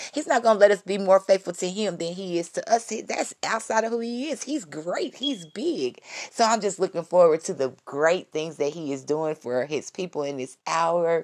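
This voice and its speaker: An animated woman's voice at a medium pitch, with very wide pitch swings and hardly any pauses. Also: moderate pace. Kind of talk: devotional talk.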